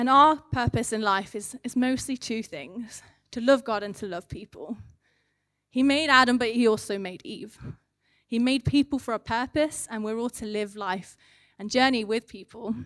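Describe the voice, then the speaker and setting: A woman speaks in an English accent at a fairly high pitch and a moderate pace, with ordinary pitch variation and big swings in loudness. The recording is very clean with a silent background and a dry, close sound with no echo. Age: 30s. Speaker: charity manager giving a church sermon. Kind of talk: sermon.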